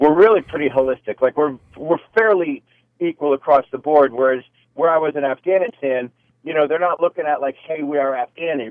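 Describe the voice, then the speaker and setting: A man speaks in a normal speaking voice at a fairly quick pace. His pitch is fairly high. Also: ordinary pitch variation. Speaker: military veteran. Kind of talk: casual chat. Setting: phone call.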